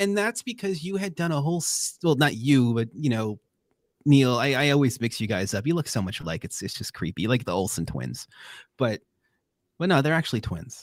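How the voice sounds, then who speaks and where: With a Long Island accent, a man talks at a fairly quick pace and medium pitch, his voice taking very wide pitch swings on a very clean recording with a silent background. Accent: Long Island New York. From Long Island, New York. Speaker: podcast co-host. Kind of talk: casual chat. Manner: animated.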